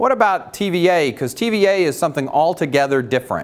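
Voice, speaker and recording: This man has an unremarkable speaking voice, with lively intonation and a fairly quick pace. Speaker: utility industry speaker. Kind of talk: motivational talk.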